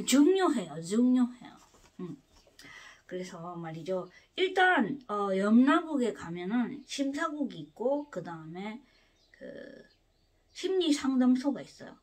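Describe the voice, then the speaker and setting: A woman's high voice at a very slow pace, with long, frequent pauses, very wide pitch swings and big swings in loudness. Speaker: spiritual lecturer, book reader. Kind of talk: lecture on the afterlife. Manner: hesitant with many fillers and restarts.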